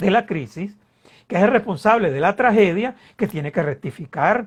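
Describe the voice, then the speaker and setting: A man's high voice with lively intonation, a moderate pace, and a quiet background. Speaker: political scientist and politician. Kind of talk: interview. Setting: online video interview. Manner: animated.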